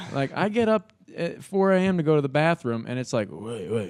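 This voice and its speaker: With an American accent, a man talks at a fairly quick pace, his pitch moving in very wide swings. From New York, then Indiana from about ten. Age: 20s. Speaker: videographer and comedy show host. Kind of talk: casual podcast interview. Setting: podcast studio with speakers outside. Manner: loud; animated, rambling.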